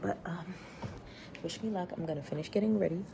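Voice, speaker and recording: A quiet woman's voice at a fairly low pitch and fairly quick pace, over noticeable background noise. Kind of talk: vlog. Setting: friend's home.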